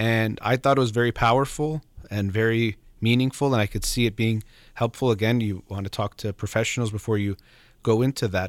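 A man talks at a fairly quick pace with a medium pitch. The sound is dry and close, with no echo. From Iranian heritage. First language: Farsi. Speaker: radio host and psychologist. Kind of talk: call-in advice show. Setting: studio.

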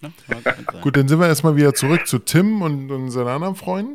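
In a very clean recording with a silent background, a man with a normal speaking voice and fairly high pitch uses lively intonation. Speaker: podcast co-host. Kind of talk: casual chat.

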